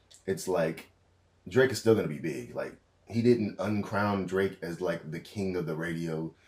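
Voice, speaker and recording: At a moderate pace, a man talks in a very deep, low voice. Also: ordinary pitch variation. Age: 20s. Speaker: vlogger. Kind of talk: casual monologue. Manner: casual, hesitant with fillers.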